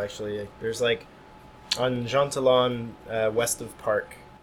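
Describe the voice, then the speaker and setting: There is noticeable background noise behind this man. He speaks at a medium pitch with an American accent. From US Northeast (North Jersey). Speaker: touring musician. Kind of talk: casual interview chat. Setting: music venue.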